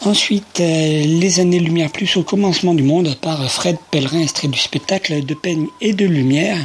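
Speech at a fairly slow pace plays over music in the background. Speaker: radio host. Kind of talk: radio presentation. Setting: radio studio.

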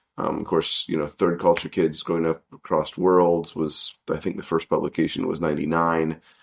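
A man's very deep, low voice in an American accent, at a moderate pace with fairly even intonation and hardly any pauses. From US South (Arkansas), teens in Vietnam. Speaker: international school principal and researcher. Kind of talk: interview.

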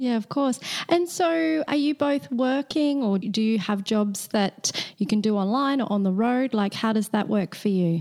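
A woman speaks with a fairly high pitch and lively intonation. Her pace is moderate and her loudness very even. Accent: Australian. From Australia. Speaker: podcast host. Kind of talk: casual interview.

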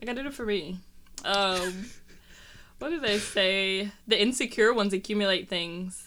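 This woman has a bright, sharp tone and a medium pitch, with ordinary pitch variation. She talks at a moderate pace and takes long, frequent pauses. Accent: American. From US Midwest, Detroit. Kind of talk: casual chat.

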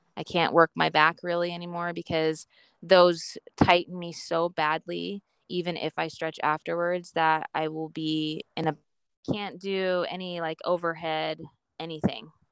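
A woman speaks fairly slowly with a Western US accent. Her fairly low voice stays monotone and flat. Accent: American (Western US). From Idaho, US. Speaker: stay-at-home mom, former personal trainer, patient. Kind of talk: interview about personal health journey.

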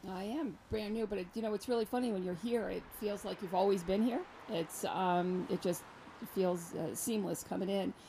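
A woman with an American accent speaks at a moderate pace and medium pitch, her dark, mellow tone somewhat breathy and her pitch variation ordinary. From New York. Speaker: senior center director. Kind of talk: casual chat. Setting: outdoors.

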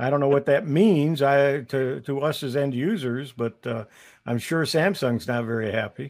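A man with a fairly high pitch uses a normal speaking voice with ordinary pitch variation. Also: moderate pace. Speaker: co-host. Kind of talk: casual chat. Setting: online video broadcast.

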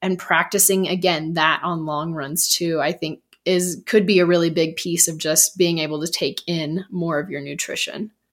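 Recorded very cleanly with a silent background, the speaker has a plain, everyday voice and a moderate pace. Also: woman. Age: 40s. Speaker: running coach and podcast co-host. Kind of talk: casual chat.

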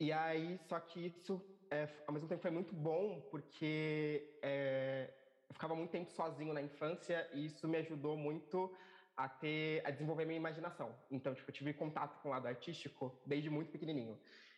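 A man talks in an ordinary speaking voice with a fairly high pitch. His intonation is fairly even, at a moderate pace. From São Paulo periphery, Brazil. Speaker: musician. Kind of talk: interview.

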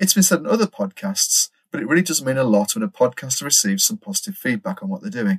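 A man's fairly high voice at a very fast pace, with very wide pitch swings, in a dry, close sound with no echo. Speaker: podcast host. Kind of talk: casual chat.

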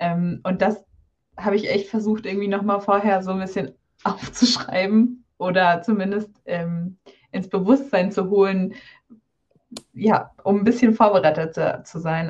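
The woman's voice sits at medium pitch and sounds somewhat breathy. She keeps a fairly even intonation at a moderate pace. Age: 20s. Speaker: doctor and carnival band pianist. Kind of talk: casual interview.

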